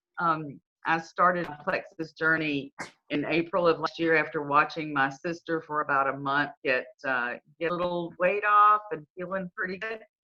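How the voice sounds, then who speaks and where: Her voice is a normal speaking voice, as this woman talks at a moderate pace with a fairly low pitch and ordinary pitch variation. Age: 60s. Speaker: customer testimonial. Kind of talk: testimony.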